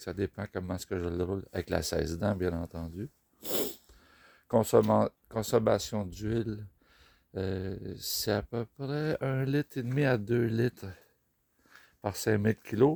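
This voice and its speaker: A man with a Quebec accent speaks at a fairly slow pace in a fairly low voice, with ordinary pitch variation, on a very clean recording with a silent background and a dry, close sound with no echo. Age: 60s. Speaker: motorcycle rider. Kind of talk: casual talk to camera.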